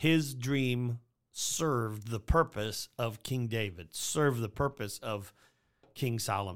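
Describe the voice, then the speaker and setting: A man speaks in an unremarkable speaking voice at medium pitch, with ordinary pitch variation. The recording is very clean, with a silent background. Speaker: church podcast host. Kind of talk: casual chat, podcast discussion. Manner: fast talker.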